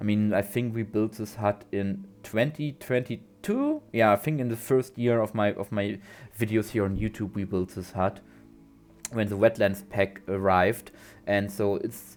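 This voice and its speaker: Moderately paced speech in a non-native accent with fairly even intonation and music in the background. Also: man. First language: not English. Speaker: gaming YouTuber. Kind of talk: gameplay commentary. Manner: halting, many fillers and repeats.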